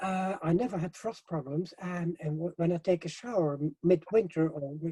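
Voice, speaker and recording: Recorded dry and close with no echo, a man talks at a moderate pace in a high pitch, his tone dark and mellow, with ordinary pitch variation. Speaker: hempcrete building expert. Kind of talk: interview. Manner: halting, many fillers and repetitions; animated.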